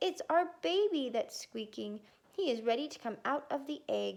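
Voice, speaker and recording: A woman's high-pitched, put-on character voice. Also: moderate pace. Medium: read story.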